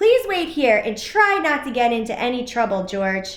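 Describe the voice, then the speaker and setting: A woman uses a put-on character voice with a high pitch. She moves at a moderate pace, her pitch swinging very widely. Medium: read story.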